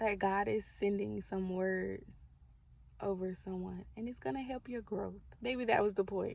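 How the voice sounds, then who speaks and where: The speaker is soft-spoken, talking at a fairly slow pace with ordinary pitch variation. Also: woman, medium pitch for a woman. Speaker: faith content creator. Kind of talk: prophetic encouragement vlog. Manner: calm, soft.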